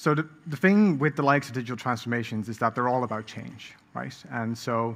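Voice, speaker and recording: Someone with a Dutch accent talks at a fairly quick pace, with ordinary pitch variation. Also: man. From Netherlands, The Hague. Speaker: product design director. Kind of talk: conference talk. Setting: stage with audience. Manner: hesitant, many fillers.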